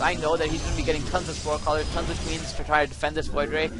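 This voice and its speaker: A man's voice over noticeable background noise. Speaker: gaming video creator. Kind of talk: gameplay commentary tutorial. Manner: fast; animated.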